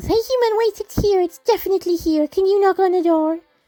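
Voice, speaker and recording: Putting on a squeaky character voice at an extremely high pitch, a woman races along at a very fast pace. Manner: urgent, pleading.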